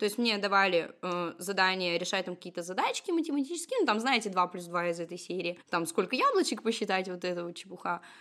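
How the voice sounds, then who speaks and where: A woman talks at a very fast pace with hardly any pauses. Noticeable background noise runs beneath her. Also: medium pitch for a woman, ordinary pitch variation. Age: 20s. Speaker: tarot reader and numerologist. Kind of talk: casual chat.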